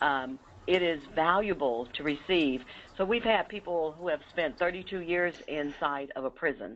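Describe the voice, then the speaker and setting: A woman has an unremarkable speaking voice with a fairly low pitch. She talks at a moderate pace. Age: 60s. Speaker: re-entry program director. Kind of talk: webinar presentation. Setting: webinar.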